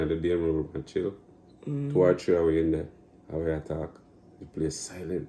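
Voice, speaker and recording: With a Jamaican accent, a man speaks in a very deep, low pitch with a dark, mellow tone. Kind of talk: casual conversation.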